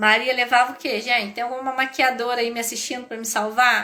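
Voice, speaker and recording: A high-pitched woman at a fairly quick pace. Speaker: business educator. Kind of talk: live stream talk. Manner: animated.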